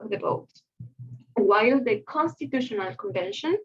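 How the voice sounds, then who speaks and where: A woman's voice with a Spanish accent, vocal fry and very wide pitch swings. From Chile. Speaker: conference presenter. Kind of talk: conference presentation. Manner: halting, many fillers.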